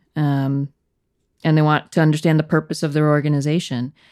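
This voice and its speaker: On a very clean recording with a silent background, a woman with an American accent speaks in a very deep, low voice with monotone, flat intonation. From US Northeast, Connecticut (Danbury). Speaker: corporate director and leader. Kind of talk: casual interview chat.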